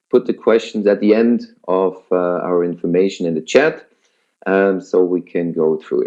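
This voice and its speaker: A man speaks with a Swiss German accent. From Switzerland. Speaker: network marketing presenter. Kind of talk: webinar sales pitch. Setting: online webinar with headset. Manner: hesitant with many fillers.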